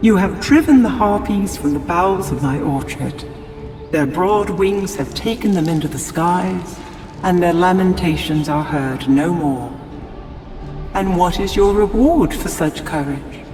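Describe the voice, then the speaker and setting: In a put-on character voice, a woman rasps at a moderate pace and fairly low pitch, with clear echo and clear background noise. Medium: machinima. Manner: archaic, declamatory.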